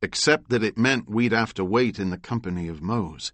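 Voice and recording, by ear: Aloud reading in a natural voice, pitch varying in an ordinary way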